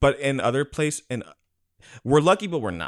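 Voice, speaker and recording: Vocal fry comes through at a moderate pace in a very clean recording with a silent background. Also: man. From Hawaii. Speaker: podcast co-host. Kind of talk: casual chat.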